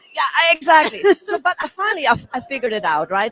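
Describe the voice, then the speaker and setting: A woman's raised, projected voice at a very fast pace. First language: not English. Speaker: communication coach for entrepreneurs. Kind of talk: interview.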